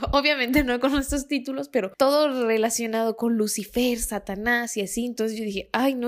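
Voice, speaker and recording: Spoken with a Mexican accent at a moderate pace with ordinary pitch variation, the clip is a very clean recording with a silent background. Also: woman. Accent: Mexican Spanish (Jalisco). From Mexico, Guadalajara. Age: 20s. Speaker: podcast host. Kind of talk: storytelling monologue.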